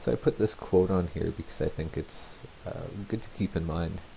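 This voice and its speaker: A soft-spoken man with a very deep, low pitch talks at a fairly quick pace. His tone is dark and mellow, and somewhat breathy. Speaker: teacher. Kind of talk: tutorial. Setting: home, next room to sleeping baby.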